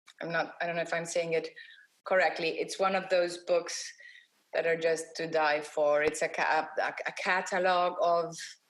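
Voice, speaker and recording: In a non-native accent, a woman speaks at a moderate pace with a fairly low pitch and monotone, flat intonation. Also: very clean recording, silent background. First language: not English. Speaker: graphic designer, awards jury president. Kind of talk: interview. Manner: halting, many false starts.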